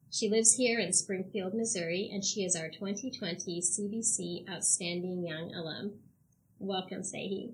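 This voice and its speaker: The voice is somewhat breathy and keeps a fairly slow pace. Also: woman, medium pitch for a woman. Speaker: university podcast co-host. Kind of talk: interview conversation.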